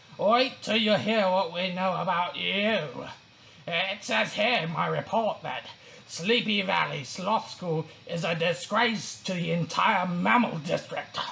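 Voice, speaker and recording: A put-on character voice at a middle pitch speaks at a fairly slow pace. Clear background noise is present. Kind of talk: children's story read-aloud.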